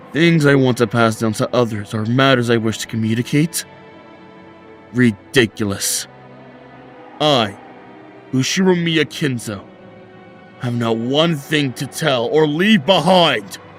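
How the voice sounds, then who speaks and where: Over clear music in the background, a man shouts in a put-on character voice at medium pitch. He goes at a fairly slow pace with long, frequent pauses. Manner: shouting, furious.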